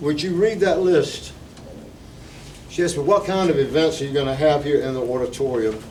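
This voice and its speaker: Speaking with an American accent at a fairly quick pace, a man with a fairly high pitch leaves long, frequent pauses amid audible room echo and noticeable background noise. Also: ordinary pitch variation. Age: 70s. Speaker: retired teacher, local preservation volunteer. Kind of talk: talk at a community meeting. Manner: informal, conversational.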